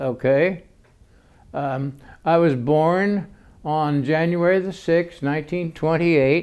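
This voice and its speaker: A fairly high-pitched man with an American accent, at a very slow pace with long, frequent pauses and fairly even intonation. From US Midwest, central Illinois. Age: 80s+. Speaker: former university president. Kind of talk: oral history interview. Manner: halting, many fillers.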